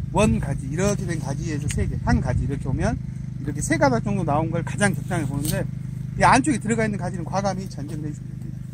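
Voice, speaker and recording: With audible room echo and noticeable background noise, a man speaks very fast at a fairly high pitch, his pitch variation ordinary. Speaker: blueberry pruning instructor. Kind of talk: hands-on demonstration.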